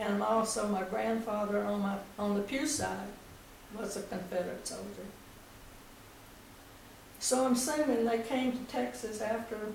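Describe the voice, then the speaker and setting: Noticeable background noise sits behind a woman speaking at a fairly slow pace with a medium pitch and ordinary pitch variation. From East Texas. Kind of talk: oral history interview.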